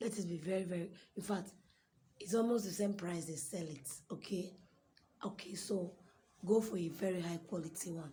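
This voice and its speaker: A woman's somewhat breathy voice at medium pitch, dark and mellow in tone, with fairly even intonation, a fairly quick pace and audible room echo. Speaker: fashion designer. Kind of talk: tutorial.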